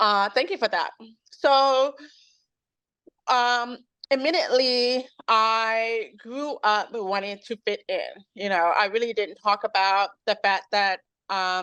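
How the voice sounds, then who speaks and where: With an American accent, a woman speaks at a very slow pace in a bright, sharp tone against a quiet background. Her pitch is fairly high, with ordinary variation. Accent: slight hard-of-hearing trace in speech. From Chicago South Side. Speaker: chef and bakery owner. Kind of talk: interview. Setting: video call. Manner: volume poorly regulated, sometimes too loud or soft.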